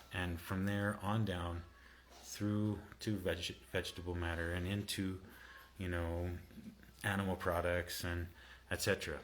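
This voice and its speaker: A soft-spoken man at a fairly slow pace, with monotone, flat intonation and long, frequent pauses. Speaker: health coach and herbalist. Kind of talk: livestream talk to viewers. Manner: halting, many fillers.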